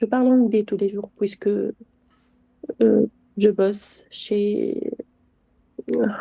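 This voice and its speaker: A woman's dark, mellow tone in a Tunisian accent, very slow with long, frequent pauses, in a dry, close sound with no echo. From Tunisia, Tunis. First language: Arabic (Tunisian) (speaking French). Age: 30s. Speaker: stranger in random video chat. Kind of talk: casual chat.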